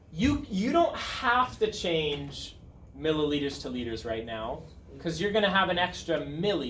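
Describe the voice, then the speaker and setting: Over noticeable background noise and audible room echo, a man with a fairly high pitch talks at a fairly slow pace, his pitch swinging very widely. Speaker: high school chemistry teacher. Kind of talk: classroom lecture. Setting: classroom with students.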